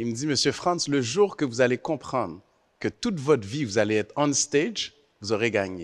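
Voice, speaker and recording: The man speaks with lively intonation. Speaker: university chancellor, panelist. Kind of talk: panel discussion. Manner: clear diction.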